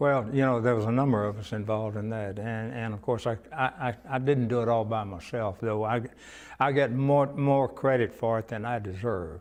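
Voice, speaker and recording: A man with a Texan accent talks at a moderate pace and medium pitch. His pitch variation is ordinary, and the background is quiet. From Cuero, Texas. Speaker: retired pharmacist. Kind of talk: oral history interview answer.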